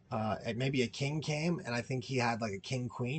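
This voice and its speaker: Against a quiet background, a man talks in a somewhat breathy voice with ordinary pitch variation. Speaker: poker player and video creator. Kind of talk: tutorial. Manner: halting.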